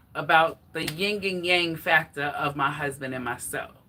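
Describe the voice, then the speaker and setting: Loud and fairly low-pitched, a woman talks with ordinary pitch variation. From New York, the Bronx. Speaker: fitness vlogger. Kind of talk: casual livestream chat. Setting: live stream, exercising while talking.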